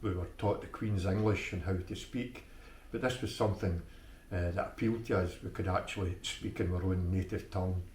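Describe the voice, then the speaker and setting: A man's very deep, low voice in an Ayrshire accent, with fairly even intonation at a fairly quick pace and audible room echo. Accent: Scottish, Ayrshire. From Scotland, Ayrshire. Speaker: local Burns enthusiast. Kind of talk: interview. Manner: hesitant, many fillers.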